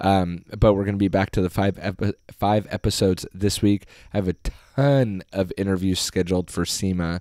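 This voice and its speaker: A man's fairly low, dark and mellow voice at a moderate pace with fairly even intonation, on a very clean recording with a silent background. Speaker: podcast host on auto detailing. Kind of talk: solo podcast monologue. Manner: casual with frequent fillers.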